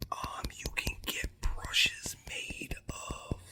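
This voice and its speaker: Amid noticeable background noise, a man whispers. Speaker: ASMR creator. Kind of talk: ASMR whisper and soft talk for relaxation. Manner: soft-spoken, relaxed.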